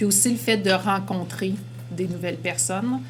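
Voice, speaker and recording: Over background music and audible room echo, a woman talks at a moderate pace with very wide pitch swings. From Quebec. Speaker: educator. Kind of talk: testimony.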